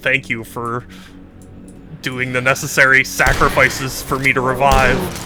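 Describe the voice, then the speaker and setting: A man's strained, put-on character voice at a medium pitch, monotone and flat, at a moderate pace with clear music in the background. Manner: strained, menacing.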